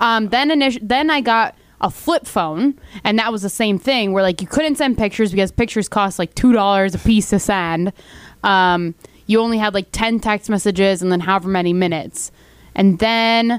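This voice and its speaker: A woman's normal speaking voice at a moderate pace, with ordinary pitch variation and very even loudness, in a very clean recording with a silent background. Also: medium pitch for a woman. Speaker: radio host. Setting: studio. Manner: playful, bantering.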